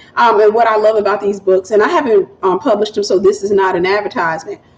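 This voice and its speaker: Over noticeable background noise, a woman with a Southern US accent talks at a medium pitch with ordinary variation. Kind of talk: livestream chat with viewers.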